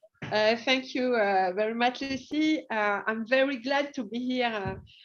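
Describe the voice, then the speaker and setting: A woman with a French accent and a fairly high pitch. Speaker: hospital deputy director. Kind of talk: presentation. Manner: halting.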